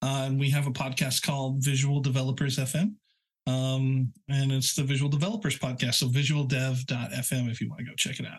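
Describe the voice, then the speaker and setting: Medium-pitched, somewhat breathy male voice with an American accent, fairly even intonation and a moderate pace. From rural Oklahoma. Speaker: web developer and architect. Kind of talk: casual interview chat.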